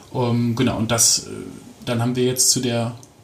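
A man talks at a moderate pace as noticeable background noise carries on behind him. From Aachen, western Germany. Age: 20s. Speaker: politician. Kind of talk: interview.

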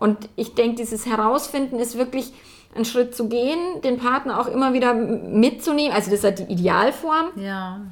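With a Bavarian accent, a woman speaks at a moderate pace. Her pitch is high, with ordinary pitch variation. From Bavaria, rural farm. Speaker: relationship coach. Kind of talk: casual interview. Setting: in person in Hamburg. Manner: animated, laughs often.

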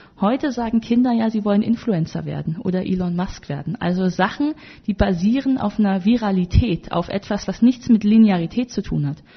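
Somewhat breathy, a woman talks at a fairly quick pace in a medium pitch with ordinary variation. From Germany, North Rhine-Westphalia. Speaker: politician and author. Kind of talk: interview.

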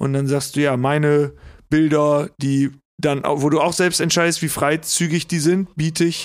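Recorded very cleanly against a silent background, a man talks at a fairly high pitch. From Lower Saxony, south of Osnabrück. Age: 30s. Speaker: comedian and musician. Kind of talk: casual chat.

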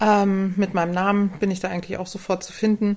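On a very clean recording with a silent background, a woman with a normal speaking voice talks at a moderate pace and medium pitch. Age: 40s. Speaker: physiotherapist for humans and dogs. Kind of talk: casual interview.

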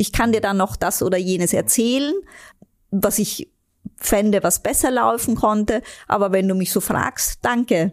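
A woman with a slight Austrian accent talks at a moderate pace, taking long, frequent pauses. Her medium-pitched voice has ordinary pitch variation and very even loudness. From Austria, Vienna. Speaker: vice president of a relief organisation. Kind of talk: interview.

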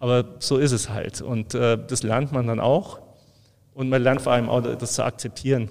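A man talks in a plain, everyday voice with a medium pitch, fairly even intonation and a moderate pace. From Allgäu, Bavaria, Germany. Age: 50s. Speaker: brewery export manager. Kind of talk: casual interview.

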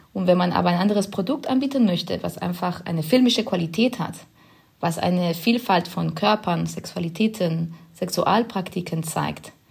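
Using a Spanish accent, a woman speaks at a moderate pace with a fairly low pitch, ordinary pitch variation and vocal fry. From Spain. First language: Spanish (speaking German). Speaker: film director. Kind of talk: podcast interview.

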